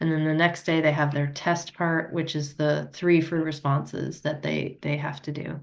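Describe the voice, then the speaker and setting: The delivery is monotone and flat, with vocal fry, at a moderate pace. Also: woman. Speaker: physics teacher leading a teacher training course. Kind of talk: instructional workshop talk.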